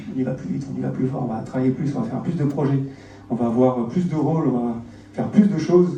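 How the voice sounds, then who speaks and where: A man talks at a very fast pace in a medium pitch with ordinary pitch variation. Noticeable background noise and audible room echo fill the recording. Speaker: agile coach and conference speaker. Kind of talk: conference talk. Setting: stage with audience. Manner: hesitant, many fillers.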